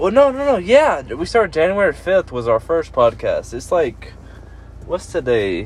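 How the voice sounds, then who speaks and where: A man talks fairly slowly. Background noise is clearly present. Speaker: podcast host. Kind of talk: casual chat. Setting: in-person recording.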